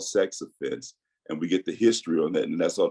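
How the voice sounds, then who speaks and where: The recording is dry and close, without any echo. A man is the one talking. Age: 60s. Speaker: guest telling his legal case. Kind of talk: interview.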